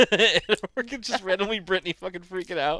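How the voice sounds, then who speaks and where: Raised and projected, a man's high voice comes across bright and sharp with an animated tone at a fairly quick pace, the sound dry and close with no echo. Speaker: podcast co-host. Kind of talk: casual chat.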